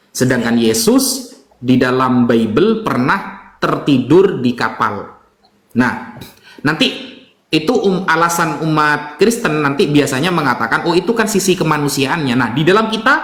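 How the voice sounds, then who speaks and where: A man's fairly high voice swings very widely in pitch while his loudness stays very even. Audible room echo surrounds him. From Java, Indonesia. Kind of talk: religious debate explanation.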